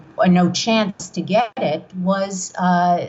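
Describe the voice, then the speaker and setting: Speaking in a New York accent, a woman talks at a medium pitch. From New York, Long Island (Brooklyn-born). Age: 60s. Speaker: author. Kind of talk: interview. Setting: podcast.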